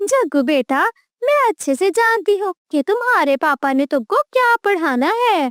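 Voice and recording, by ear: In a cartoonish character voice, a woman talks fairly slowly at an extremely high pitch, her pitch swinging very widely.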